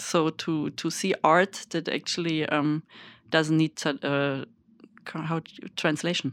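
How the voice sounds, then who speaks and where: In a German accent, a woman speaks very slowly with long, frequent pauses, her very deep, low voice monotone and flat, on a very clean recording with a silent background and a dry, close sound with no echo. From Germany. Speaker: festival artistic director. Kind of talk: interview. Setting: studio.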